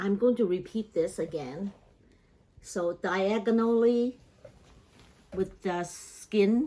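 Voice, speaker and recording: A woman's medium-pitched voice moves at a very slow pace. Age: 80s+. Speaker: home cook. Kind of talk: cooking tutorial talk to camera.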